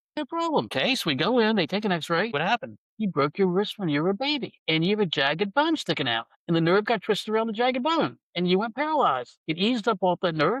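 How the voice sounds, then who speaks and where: With a Virginia accent, a man with a high pitch talks at a very fast pace with hardly any pauses and very wide pitch swings, over a quiet background. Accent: US Southern (Virginia). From Virginia, US South. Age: 70s. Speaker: medical cannabis patient and former stockbroker. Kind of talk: interview storytelling.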